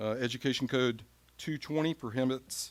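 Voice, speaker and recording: Here a man with an ordinary speaking voice talks at a fairly quick pace. His pitch is medium, with fairly even intonation. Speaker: school board president chairing meeting. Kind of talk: chairing formal meeting. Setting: school board meeting room.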